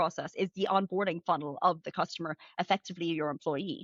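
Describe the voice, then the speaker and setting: With an Irish accent, a woman speaks very fast with ordinary pitch variation. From Ireland. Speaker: retail finance executive. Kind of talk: interview. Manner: fast, many fillers.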